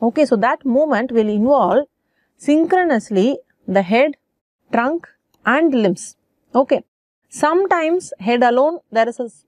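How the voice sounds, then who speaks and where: A woman's high-pitched voice with very wide pitch swings, dry with no echo, over a quiet background. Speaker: medical lecturer. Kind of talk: lecture.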